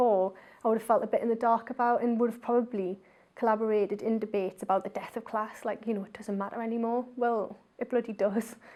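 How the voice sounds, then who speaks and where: With a fairly high pitch, a woman talks at a very fast pace. Her tone is dark and mellow, her intonation flat and monotone. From northern England, near Durham. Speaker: social scientist. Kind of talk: interview testimony. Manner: hesitant, many fillers.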